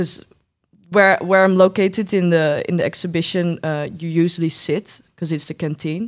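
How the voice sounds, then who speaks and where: An unremarkable speaking voice moves at a moderate pace, captured on a very clean recording against a silent background. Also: woman, fairly low pitch for a woman. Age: 20s. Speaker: graphic design graduate. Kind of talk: interview.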